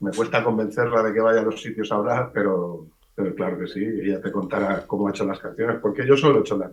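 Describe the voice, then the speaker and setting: A man's fairly low voice at a very fast pace, with hardly any pauses and ordinary pitch variation. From Valencian-speaking eastern Spain. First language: Valencian (speaking Spanish). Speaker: writer. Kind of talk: radio interview.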